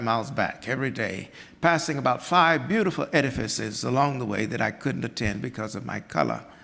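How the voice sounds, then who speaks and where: Bright and sharp in tone, a man's medium-pitched voice carries vocal fry, ordinary pitch variation and a fairly quick pace with hardly any pauses. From US South (Georgia, western North Carolina Appalachia). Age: 80s+. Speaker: artist and scholar. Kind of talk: storytelling talk. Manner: halting.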